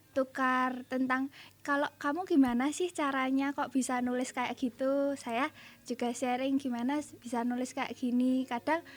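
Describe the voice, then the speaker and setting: High-pitched female speech at a moderate pace, with fairly even intonation. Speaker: young writer. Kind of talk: radio interview. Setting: radio studio.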